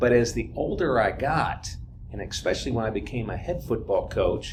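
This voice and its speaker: A man talks at a moderate pace amid audible room echo. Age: 60s. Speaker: football coach. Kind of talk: casual chat. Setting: stage with audience.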